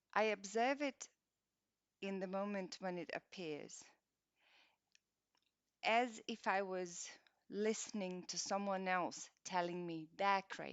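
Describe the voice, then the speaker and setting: A woman of medium pitch speaks at a very slow pace with ordinary pitch variation. Long, frequent pauses break up her speech. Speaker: meditation guide. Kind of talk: guided meditation. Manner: gentle, calm.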